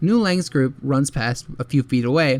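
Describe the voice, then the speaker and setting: A man speaks in an ordinary speaking voice, pitched fairly high. His pitch varies in an ordinary way, and his pace is moderate. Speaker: manhua recap youtuber. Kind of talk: story recap narration.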